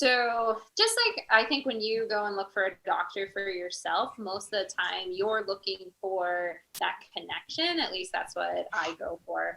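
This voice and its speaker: A woman speaks at a fairly slow pace. Her pitch is medium, with ordinary variation. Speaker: veterinarian. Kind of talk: panel interview answer. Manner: soft-spoken.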